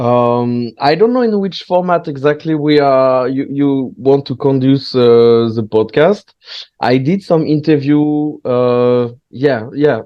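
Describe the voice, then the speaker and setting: In a French accent, a man speaks very slowly. His pitch is fairly high, with ordinary variation. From southwest France. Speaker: stand-up comedian. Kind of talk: casual chat. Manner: halting.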